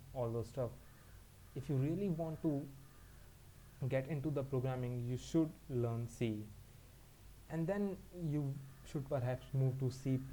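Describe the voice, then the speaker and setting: Somewhat breathy, with a dark, mellow tone, a man at medium pitch talks at a fairly slow pace with ordinary pitch variation. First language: not English. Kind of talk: educational talk to camera.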